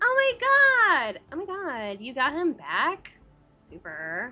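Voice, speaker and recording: A woman's put-on character voice, extremely high-pitched and fairly slow. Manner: excited, squealing.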